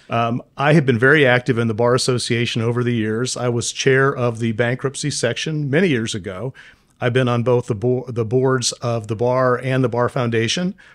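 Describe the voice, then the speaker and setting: This man has a plain, everyday voice at a medium pitch, talking at a moderate pace with fairly even intonation. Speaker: bankruptcy attorney. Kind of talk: interviewer conversation.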